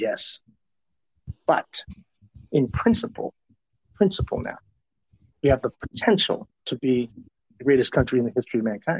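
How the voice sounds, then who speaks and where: A man with a fairly high pitch speaks at a moderate pace in a Southwestern US accent. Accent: American, Southwestern US. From Tucson, Arizona. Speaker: professional development expert. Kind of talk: interview conversation.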